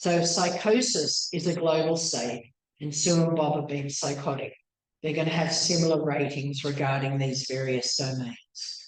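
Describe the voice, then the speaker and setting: Audible room echo surrounds a woman whose very deep, low pitch moves with ordinary variation at a moderate pace. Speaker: PhD researcher giving a talk. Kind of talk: lecture. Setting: talk venue with audience, also on Zoom.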